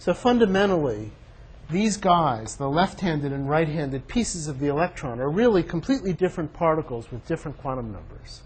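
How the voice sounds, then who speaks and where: A man with a plain, everyday voice talks at a fairly quick pace, his fairly high pitch carried by lively intonation. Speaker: physics professor. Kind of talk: lecture.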